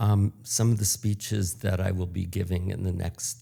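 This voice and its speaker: Speaking at a fairly slow pace, a man with an American accent has a very deep, low pitch, a dark, mellow tone, a somewhat breathy quality and fairly even intonation. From United States. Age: 70s. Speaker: public speaking coach. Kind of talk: interview.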